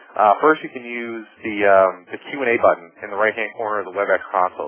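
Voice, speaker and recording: A man speaks with an American accent and a fairly low pitch. Noticeable background noise runs under his voice. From US Northeast, Boston. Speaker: marketing executive, webinar presenter. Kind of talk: webinar presentation. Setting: webinar over phone line. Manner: fast; animated.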